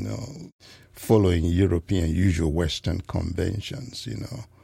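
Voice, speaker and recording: This clip features a man's voice. It is a very clean recording with a silent background. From Ghana. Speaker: composer. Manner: conversational, uses filler 'you know'.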